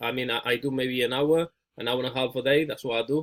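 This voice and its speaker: Fairly even intonation marks an ordinary speaking voice that proceeds rather quickly. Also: man. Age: 30s. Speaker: ecommerce coach. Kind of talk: coaching call.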